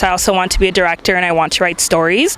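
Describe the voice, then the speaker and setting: Noticeable background noise behind a woman's voice. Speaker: English teaching assistant. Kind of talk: interview.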